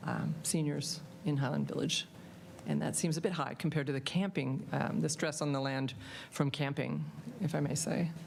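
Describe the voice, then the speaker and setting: A woman speaks in a very deep, low voice with vocal fry. Her pace is moderate, and audible room echo surrounds it. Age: 70s. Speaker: public commenter at council meeting. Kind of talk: public comment. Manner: halting, many fillers.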